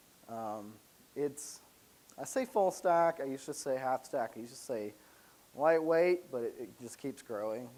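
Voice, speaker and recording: With an American accent, a man speaks at a moderate pace with lively intonation. His pitch sits fairly high. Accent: slight Southern accent, comes out at random. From US South, Alabama. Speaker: software developer, conference speaker. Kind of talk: conference presentation. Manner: casual, filler-heavy.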